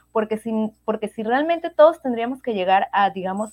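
An unremarkable speaking voice from a woman, fairly high and lively in intonation, with a dry, close sound and no echo. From Venezuela. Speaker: medical doctor. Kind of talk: interview.

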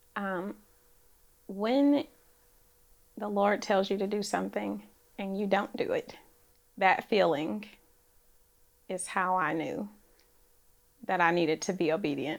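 With an American accent, a woman of medium pitch speaks at a fairly slow pace with vocal fry. Her pitch varies in an ordinary way, and she takes long, frequent pauses. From Oakland, California. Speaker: real estate developer. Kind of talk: interview. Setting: studio. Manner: soft-spoken.

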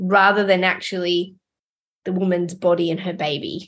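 In an Australian accent, a woman speaks at a fairly slow pace. Her pitch sits in the medium range. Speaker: midwife podcast host. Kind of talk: podcast interview.

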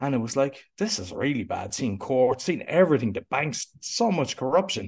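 A Cork accent at a moderate pace. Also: man. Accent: Cork Irish. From Ireland, Cork. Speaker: podcast coach. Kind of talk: interview conversation.

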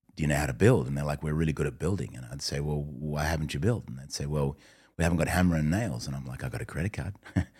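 A man talks at a very fast pace with a very deep, low pitch and ordinary pitch variation. There is vocal fry in his voice. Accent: Australian. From Australia. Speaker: entrepreneur and gang pastor. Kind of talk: interview.

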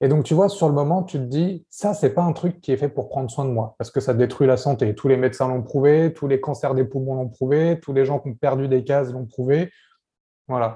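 A man speaks at a medium pitch and a moderate pace in a dark, mellow tone. His voice is somewhat breathy and shows ordinary pitch variation. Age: 30s. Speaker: parenting coach. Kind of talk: interview. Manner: casual.

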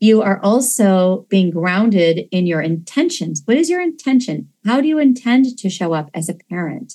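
At a moderate pace with hardly any pauses, a woman speaks at medium pitch in a dark, mellow, somewhat breathy tone with very wide pitch swings against a quiet background. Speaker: parent coach and podcast host. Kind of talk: infomercial-style sales pitch for a membership program; scripted promo intro. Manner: upbeat, salesy, enthusiastic and polished, promotional.

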